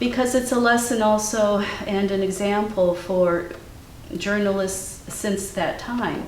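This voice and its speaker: Someone with a Ukrainian accent talks at a fairly slow pace, stopping for long, frequent pauses. The room echo is audible and background noise is noticeable. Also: woman, medium pitch for a woman, ordinary pitch variation. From US Midwest, Cleveland, Ohio. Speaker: artist. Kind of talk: interview conversation. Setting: artist's studio.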